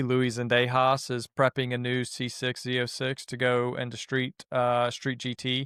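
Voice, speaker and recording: A man with a slight Southern US accent talks at a medium pitch and a moderate pace. The sound is dry and close with no echo. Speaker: podcast co-host and time attack racer. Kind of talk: casual podcast chat.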